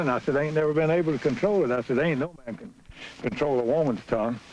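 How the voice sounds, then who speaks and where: A man with an Appalachian accent talks at a very fast pace in a fairly high pitch with ordinary pitch variation. Noticeable background noise sits behind him. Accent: Appalachian North Carolina. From Brushy Mountains, Wilkes County, North Carolina. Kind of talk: oral history interview. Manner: storytelling, humorous.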